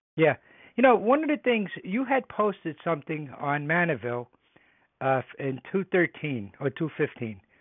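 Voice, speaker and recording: In an American accent, a man speaks with fairly high pitch and very wide pitch swings. His pace is moderate. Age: 80s+. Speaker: caller, war veteran. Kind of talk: question to a politician. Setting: phone call.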